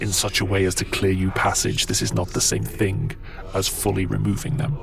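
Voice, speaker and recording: A put-on character voice with a deadpan tone, over loud background noise. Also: man. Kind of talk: archaic formal speech. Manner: grave, deadpan, expressionless; solemnly sincere.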